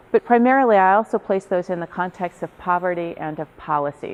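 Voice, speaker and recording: A woman with an American accent speaks at a fairly quick pace. Her pitch is fairly low. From New York City. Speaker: research psychologist. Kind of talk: professional development lecture. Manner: fast.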